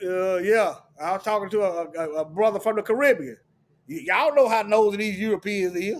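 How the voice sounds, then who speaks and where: A man speaks loudly with an animated tone. His pace is fairly quick. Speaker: religious commentator. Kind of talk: sermon-style commentary with scripture reading.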